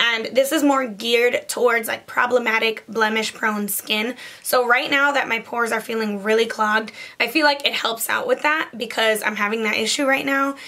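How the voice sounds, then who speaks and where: Noticeable background noise sits behind a woman with a fairly high pitch. She keeps a moderate pace and fairly even intonation. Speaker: beauty vlogger. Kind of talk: casual product review. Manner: casual, chatty.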